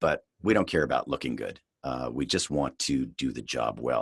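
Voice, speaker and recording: Lively intonation and vocal fry at a moderate pace, in a dry, close sound with no echo. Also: man, very deep, low pitch for a man. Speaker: voice actor. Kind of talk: voice acting tutorial talk to camera. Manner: casual, relaxed.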